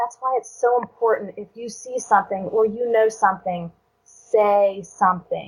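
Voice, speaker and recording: A woman's plain, everyday voice at a moderate pace. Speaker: domestic violence survivor. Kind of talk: interview answer.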